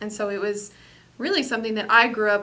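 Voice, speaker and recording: Her voice is fairly high, with a bright, sharp tone. Audible room echo surrounds this woman's speech. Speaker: business executive. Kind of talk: interview. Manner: loud.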